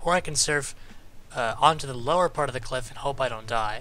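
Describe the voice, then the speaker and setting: Fairly quick speech over music in the background. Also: man. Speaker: competitive gamer explaining gameplay. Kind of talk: game tutorial voice-over.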